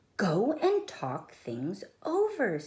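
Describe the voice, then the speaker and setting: A female-sounding voice uses a put-on character voice with a high pitch and a calm tone. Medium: read story. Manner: calm, patient.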